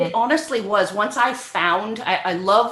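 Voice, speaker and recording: A woman speaks at a fairly slow pace in a normal speaking voice, her pitch varying in an ordinary way. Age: 60s. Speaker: professor. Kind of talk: interview.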